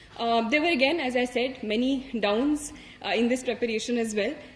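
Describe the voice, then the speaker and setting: With an Indian accent, a woman speaks at a moderate pace with a high pitch and ordinary pitch variation. Noticeable background noise runs beneath her. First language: Hindi. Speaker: civil service exam topper. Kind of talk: motivational talk. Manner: halting.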